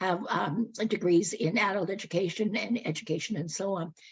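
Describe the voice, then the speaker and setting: Medium-pitched, somewhat breathy female voice at a moderate pace, with ordinary pitch variation. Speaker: guest speaker on local history. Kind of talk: public talk. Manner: hesitant with many fillers.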